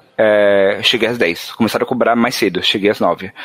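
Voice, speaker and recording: A man talks against noticeable background noise. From São Paulo, Brazil, Northeastern parents. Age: 20s. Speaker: software developer. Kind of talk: casual chat.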